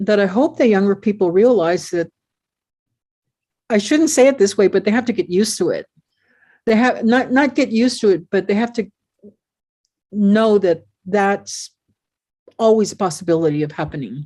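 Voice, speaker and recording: With a dark, mellow tone and lively intonation, a woman talks at a moderate pace in a medium pitch, leaving long, frequent pauses. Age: 70s. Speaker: poet and professor. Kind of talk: conversational interview. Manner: halting, many repetitions.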